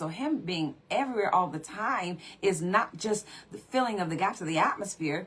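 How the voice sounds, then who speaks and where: In an unremarkable speaking voice, a woman speaks at a medium pitch with lively intonation. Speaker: preacher. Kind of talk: sermon.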